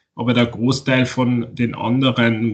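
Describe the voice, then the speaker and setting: A man's voice at medium pitch. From Austria, Tyrol. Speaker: author. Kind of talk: interview. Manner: halting.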